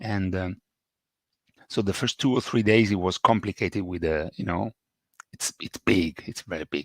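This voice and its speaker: Over a very clean recording with a silent background, a man with an Italian accent speaks at a very deep, low pitch with ordinary pitch variation and long, frequent pauses, the sound dry and close with no echo. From Italy. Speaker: English teacher. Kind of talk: podcast monologue. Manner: slow, repetitive for learners.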